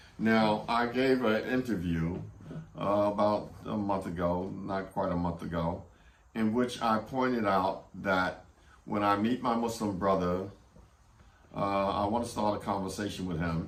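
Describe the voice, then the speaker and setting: A man's fairly low pitch and fairly even intonation at a fairly slow pace, with audible room echo. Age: 70s. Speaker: Quran study group teacher. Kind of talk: lecture. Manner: halting, many fillers.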